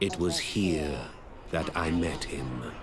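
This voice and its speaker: A man's put-on character voice, very deep and low, over clear background noise. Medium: video game. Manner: theatrical, knowing.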